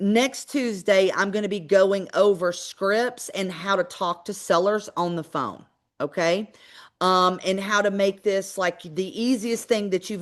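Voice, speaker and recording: A woman with a Georgia accent speaks at a medium pitch and a moderate pace. The background is quiet. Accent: Southern US accent (Georgia). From US South, Georgia. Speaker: real estate investor and trainer. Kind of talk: webinar training. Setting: live online webinar.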